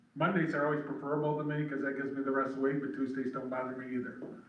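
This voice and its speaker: Talking at a very fast pace, a man keeps a fairly even intonation. The clip carries audible room echo and noticeable background noise. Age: 70s. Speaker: council applicant. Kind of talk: public meeting interview. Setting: village council meeting.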